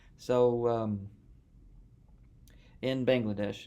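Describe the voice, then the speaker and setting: Monotone and flat, a man's dark, mellow voice carries audible room echo. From United States. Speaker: podcast host, math graduate student. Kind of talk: casual interview chat. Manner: casual.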